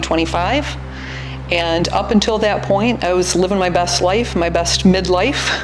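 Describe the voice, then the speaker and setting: A woman with an American accent speaks at a fairly slow pace. Music plays in the background, and the room echo is audible. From US Midwest, Michigan. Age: 60s. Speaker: cancer patient. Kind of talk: testimony. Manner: hesitant, many fillers.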